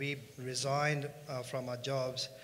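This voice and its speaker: Audible room echo surrounds a man speaking in a medium pitch. His intonation is monotone and flat. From India, Punjabi. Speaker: finance company co-founder. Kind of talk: conference panel talk.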